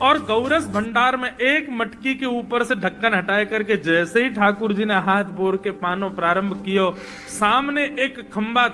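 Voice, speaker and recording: Music runs behind a man whose intonation is lively. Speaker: kathavachak (religious storyteller). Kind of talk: devotional story narration.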